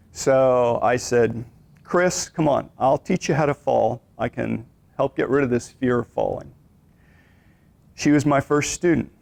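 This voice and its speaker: A man's medium-pitched voice with vocal fry and ordinary pitch variation, at a fairly slow pace with long, frequent pauses, in a dry, close sound with no echo. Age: 60s. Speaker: exercise instructor. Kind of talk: lecture. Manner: conversational.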